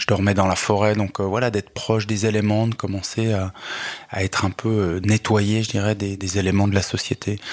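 Noticeable background noise sits behind a man with a fairly low pitch. He speaks at a moderate pace with monotone, flat intonation. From Switzerland, Lausanne area. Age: 40s. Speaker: poet, social worker and local politician. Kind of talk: radio interview. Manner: hesitant, many fillers and repetitions.

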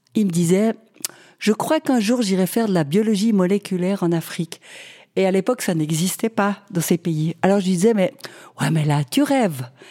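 A woman speaks at a fairly quick pace in a dark, mellow tone with lively intonation. Her pitch is medium, and the sound is dry and close with no echo. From Switzerland. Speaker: nurse. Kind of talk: interview.

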